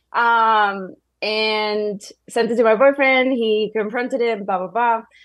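A woman's monotone, flat voice at a fairly high pitch and very slow pace, set against a quiet background. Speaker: caller. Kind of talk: casual chat. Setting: phone call. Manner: halting.

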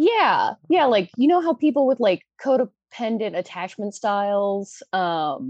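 A woman with an American accent speaks fairly slowly in a fairly high pitch with very wide pitch swings. The sound is dry and close with no echo. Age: 20s. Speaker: caller seeking relationship advice. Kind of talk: advice call. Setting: phone call.

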